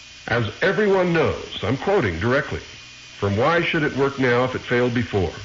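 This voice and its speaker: Amid noticeable background noise and audible room echo, a man speaks at a fairly quick pace with very wide pitch swings. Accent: American. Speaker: radio host. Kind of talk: radio monologue.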